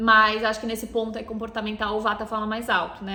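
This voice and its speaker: The speaker is a woman with a medium pitch. There is audible echo from the room. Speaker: ayurveda therapist and podcast host. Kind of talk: podcast lecture.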